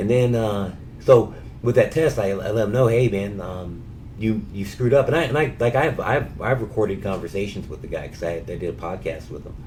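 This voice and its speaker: A somewhat breathy man at medium pitch, fairly quick and with lively intonation, big swings in loudness, and audible room echo. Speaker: cancer patient filing a complaint. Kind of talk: phone call, personal account. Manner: halting with many fillers and repetitions.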